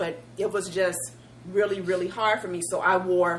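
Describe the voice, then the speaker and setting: A woman's fairly even intonation sits against noticeable background noise. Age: middle-aged. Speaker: co-host. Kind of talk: casual chat.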